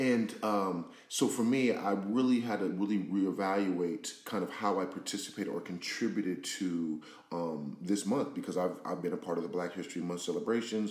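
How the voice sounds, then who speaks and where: With audible room echo, a man talks at a moderate pace in a fairly low pitch, using ordinary pitch variation. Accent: American. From Pasadena, California, US. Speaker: podcast co-host. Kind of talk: casual discussion. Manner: halting, many fillers.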